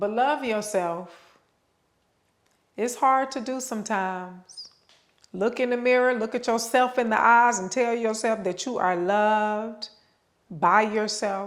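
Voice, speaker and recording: In a fairly high, drawling voice, a woman talks very slowly with fairly even intonation and long, frequent pauses. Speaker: yoga channel host / vlogger. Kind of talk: motivational talk. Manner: casual, conversational.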